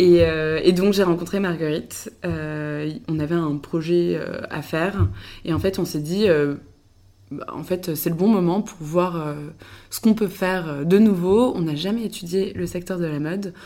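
A woman with a fairly low pitch and a dark, mellow tone speaks at a fairly slow pace, using ordinary pitch variation and big swings in loudness. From western France (Le Mans, Angers). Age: 20s. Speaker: tech startup co-founder. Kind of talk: casual interview chat. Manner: hesitant, many fillers.

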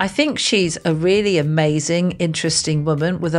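In a British accent, a woman speaks with a fairly low pitch at a moderate pace. Her intonation is fairly even. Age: 50s. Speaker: podcast host, love coach. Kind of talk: podcast interview.

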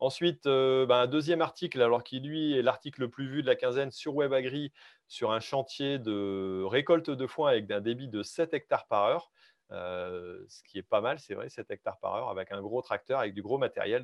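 A man talks fairly quickly in an unremarkable speaking voice, his medium pitch rising and falling in an ordinary way. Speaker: farmer and podcast host. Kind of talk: live show hosting.

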